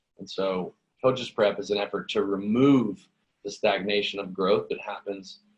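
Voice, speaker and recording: A man with an American accent at a moderate pace. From Los Angeles. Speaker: gym owner and coach. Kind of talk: interview.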